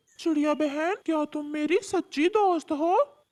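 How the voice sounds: The cartoonish character voice is high-pitched and moves at a fairly slow pace.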